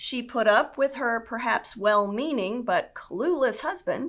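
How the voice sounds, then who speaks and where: Against a quiet background, a woman speaks at a very slow pace in a high pitch. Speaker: senior pastor of a church. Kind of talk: sermon delivered to a congregation. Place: studio.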